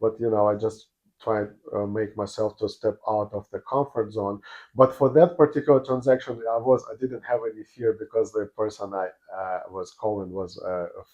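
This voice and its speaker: A man speaks with a non-native accent and ordinary pitch variation. His loudness swings a great deal. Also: medium pitch for a man, moderate pace. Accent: foreign. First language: not English. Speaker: real estate agent. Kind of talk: interview. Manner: halting, many fillers.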